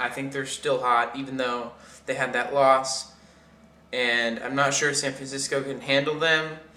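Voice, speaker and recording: The speaker mumbles at a fairly slow pace in a monotone, flat intonation. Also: man, medium pitch for a man. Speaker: sports fan vlogger. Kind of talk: casual talk to camera. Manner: mumbling, hesitant.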